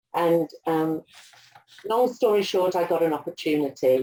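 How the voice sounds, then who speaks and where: Her voice is dark and mellow, as a woman speaks at a fairly slow pace and fairly low pitch with an English accent. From England. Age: 60s. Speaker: aged care executive and nurse. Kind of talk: interview.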